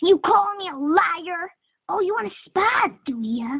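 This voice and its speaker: The put-on character voice swings very widely in pitch while keeping to a fairly slow pace. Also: woman, extremely high pitch for a woman. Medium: dub. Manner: aggressive, taunting.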